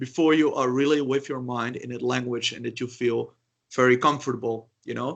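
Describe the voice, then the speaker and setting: A man with a Dutch accent talks at a medium pitch and a fairly quick pace. His pitch varies in an ordinary way, while his loudness swings widely. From Netherlands. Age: 30s. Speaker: polyglot. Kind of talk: interview. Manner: halting.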